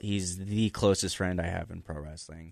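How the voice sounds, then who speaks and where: This man has an ordinary speaking voice and talks at a moderate pace with ordinary pitch variation. The background is quiet. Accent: American. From Las Vegas, US. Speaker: pro wrestler. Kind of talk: casual chat. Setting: studio.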